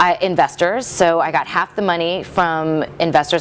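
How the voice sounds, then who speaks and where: A woman with an American accent speaks at a fairly low pitch and fairly even intonation, with music playing in the background. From US Midwest. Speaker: bridal salon owner. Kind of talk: interview.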